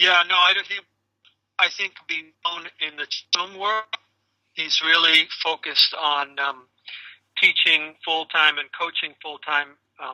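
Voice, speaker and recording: A man talks at a fairly slow pace in a high pitch, with long, frequent pauses. The sound is dry and close with no echo, and his intonation is fairly even. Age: 60s. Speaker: caregiver seeking qigong instruction. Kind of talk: video call consultation. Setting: video call. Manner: halting, many fillers and restarts.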